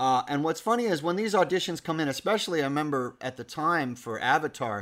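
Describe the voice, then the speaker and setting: A man's normal speaking voice, fairly high in pitch, fairly quick and with lively intonation, on a very clean recording with a silent background. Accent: American. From New York. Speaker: voice actor. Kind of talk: casual chat.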